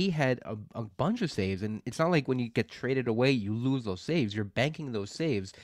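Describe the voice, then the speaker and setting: In an ordinary speaking voice, a man of medium pitch talks at a fairly quick pace with lively intonation and hardly any pauses, on a very clean recording with a silent background. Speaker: fantasy baseball podcast co-host. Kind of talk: casual chat.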